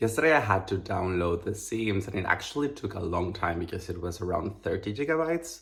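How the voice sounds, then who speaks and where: Speaking very fast with lively intonation, a man with a fairly low pitch comes through over noticeable background noise. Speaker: vlogger. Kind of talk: casual vlog narration.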